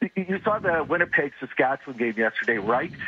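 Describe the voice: A man speaks fast in an angry tone, strained and hoarse. His pitch is fairly high, and his intonation is lively.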